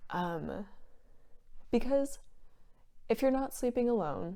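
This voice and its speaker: A woman speaks quietly and at a fairly slow pace, in an American accent. Her pitch is fairly high, and her tone is dark and mellow. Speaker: vlogger. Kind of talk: casual vlog monologue. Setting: at home. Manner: quieter.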